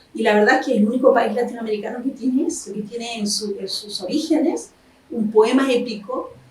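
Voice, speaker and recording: A woman with a high pitch and ordinary pitch variation at a fairly quick pace, amid noticeable background noise and audible room echo. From Chile, Concepción. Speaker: historian and novelist. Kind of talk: interview.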